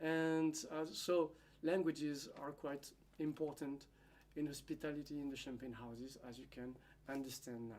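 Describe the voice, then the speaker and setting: Moderate pace and fairly even intonation in a French accent, with big swings in loudness. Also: man, fairly high pitch for a man. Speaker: winery hospitality manager. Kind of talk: conference presentation. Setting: seminar at a school. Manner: halting, with fillers.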